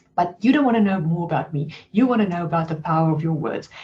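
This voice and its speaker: The voice is somewhat breathy with a dark, mellow tone and a strong South African accent. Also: woman. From South Africa, Cape Town. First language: Afrikaans. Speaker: life coach. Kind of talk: webinar presentation.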